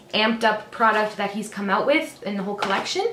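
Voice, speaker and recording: Fairly quick in pace, a woman talks at a fairly high pitch. Noticeable background noise runs underneath. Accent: Canadian. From Canada. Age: 20s. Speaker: beauty vlogger. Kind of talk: makeup tutorial talk to camera. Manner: upbeat, chatty.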